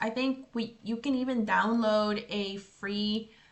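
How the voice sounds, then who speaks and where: At a fairly slow pace, a woman with fairly high pitch speaks in an ordinary speaking voice. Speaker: English teacher. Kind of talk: tutorial.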